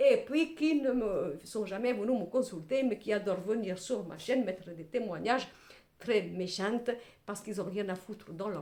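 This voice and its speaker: Her tone animated and her intonation lively, a woman talks at a fairly slow pace. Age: 60s. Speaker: tarot reader / clairvoyant. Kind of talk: tarot reading monologue to camera.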